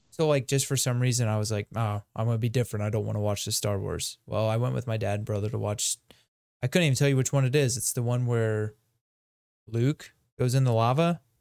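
In a dry, close sound with no echo, a man with a normal speaking voice talks at a fairly quick pace, in a medium pitch with fairly even intonation. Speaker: co-host. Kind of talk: casual chat.

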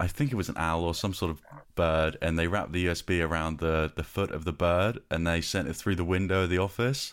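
A man with a very deep, low pitch talks at a fairly quick pace, his loudness very even. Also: ordinary pitch variation, very clean recording, silent background. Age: 30s. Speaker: podcast host, designer. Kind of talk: interview.

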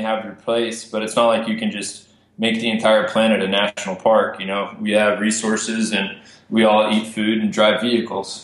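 With audible room echo, a man in an American accent talks at a moderate pace and medium pitch, his intonation monotone and flat. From Texas, Amarillo. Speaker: filmmaker and conservationist. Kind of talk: casual interview.

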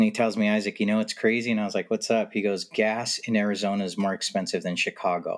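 A man with an American accent talks at a very fast pace with hardly any pauses. His fairly low voice stays monotone and flat. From California. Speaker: podcast guest. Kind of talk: casual chat. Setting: remote recording.

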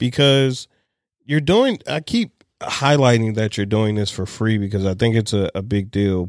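An ordinary speaking voice: a man with a fairly low pitch and lively intonation, talking at a moderate pace. The recording is very clean with a silent background, giving a dry, close sound with no echo. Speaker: podcast host. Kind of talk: casual interview chat.

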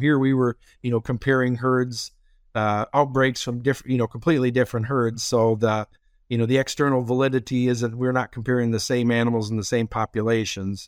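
A man of medium pitch talks at a fairly quick pace, his sound dry and close with no echo on a very clean recording with a silent background. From Minnesota, US Midwest. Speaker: swine veterinarian. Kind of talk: interview. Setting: studio. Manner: halting, many fillers.

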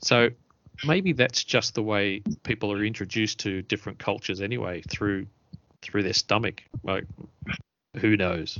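A man talks with a fairly low pitch and ordinary pitch variation. He leaves long, frequent pauses. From Australia. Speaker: podcast host. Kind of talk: casual chat.

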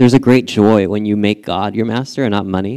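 Fairly low-pitched male voice with a dark, mellow tone, fairly even intonation and a moderate pace, in a very clean recording over a silent background. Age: 30s. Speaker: pastor. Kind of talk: sermon. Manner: casual.

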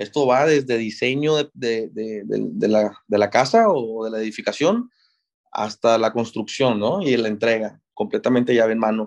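A man speaks fairly slowly, his medium pitch showing ordinary pitch variation. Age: 20s. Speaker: civil engineer, construction manager. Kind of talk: interview. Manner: halting, many fillers.

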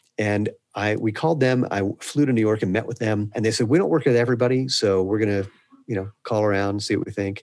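Very fast speech from a man, fairly low in pitch, with ordinary pitch variation. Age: 50s. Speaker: shoe company founder and CEO. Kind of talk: interview conversation.

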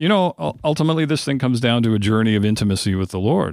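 A man's medium-pitched voice, a normal speaking voice, with lively intonation in a very clean recording with a silent background. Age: 50s. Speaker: prayer ministry director. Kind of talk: interview.

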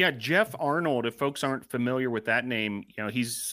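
The man has an unremarkable speaking voice at medium pitch with ordinary pitch variation, on a very clean recording with a silent background. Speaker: sports podcast co-host.

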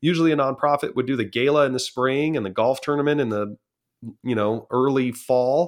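Over a quiet background, a man speaks with a Californian accent and ordinary pitch variation. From Southern California. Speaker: auctioneer. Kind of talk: interview.

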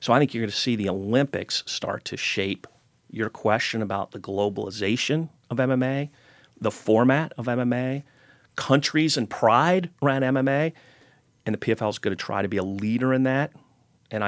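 This is a normal speaking voice from a man with an American accent, pitched in the medium range with ordinary pitch variation. He talks at a fairly quick pace, and the sound is dry and close with no echo. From US Midwest, Cincinnati. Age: 50s. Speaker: sports league co-founder. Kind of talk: interview.

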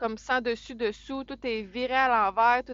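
A woman's high-pitched voice in a Quebec accent, at a fairly slow pace. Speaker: truck driver and podcast co-host. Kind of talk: casual chat. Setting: in a truck.

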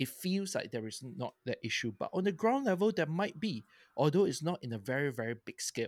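In a Singaporean accent, a man with a fairly high pitch speaks at a fairly quick pace with very wide pitch swings, in a dry, close sound with no echo on a very clean recording with a silent background. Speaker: podcast co-host. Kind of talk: casual chat.

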